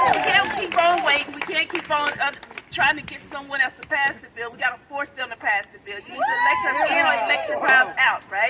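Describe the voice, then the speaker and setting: Over crowd noise, a woman talks in a raised, projected voice at a fairly quick pace. Her high pitch swings very widely, her tone is animated, and her loudness rises and falls sharply. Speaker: clean energy business founder and activist. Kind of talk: rally speech. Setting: outdoor rally with crowd.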